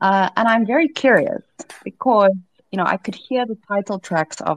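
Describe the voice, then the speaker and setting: Speaking in a normal speaking voice, a woman keeps a moderate pace with ordinary pitch variation, in a dry, close sound with no echo. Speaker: podcast host and startup CEO. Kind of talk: interview podcast.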